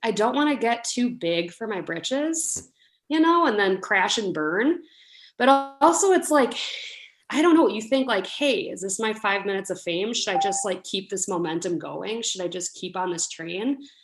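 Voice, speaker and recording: A woman with an American accent speaks at a moderate pace in a fairly high voice. Her pitch swings very widely, and the recording is very clean with a silent background. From US Midwest (La Crosse, Wisconsin). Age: 20s. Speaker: home baker. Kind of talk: casual interview.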